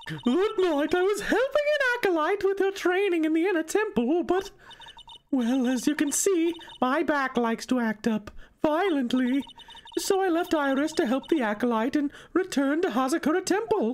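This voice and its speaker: A woman uses a put-on character voice at an extremely high pitch, with very wide pitch swings. Her pace is moderate and her loudness very even. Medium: game stream.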